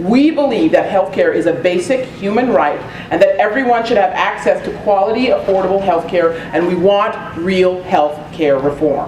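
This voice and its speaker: Noticeable background noise and audible room echo surround a woman's voice. She speaks at a moderate pace and a medium pitch, with lively intonation. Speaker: community organization board chair, meeting host. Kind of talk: public meeting presentation. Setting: community meeting room with audience.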